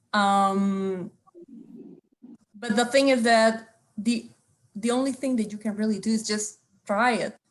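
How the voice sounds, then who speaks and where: Speaking at a fairly slow pace with long, frequent pauses, a woman with a strong Spanish accent has a fairly high pitch, a somewhat breathy voice and monotone, flat intonation. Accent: thick Spanish. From Costa Rica. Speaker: theatre artist. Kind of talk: roundtable discussion.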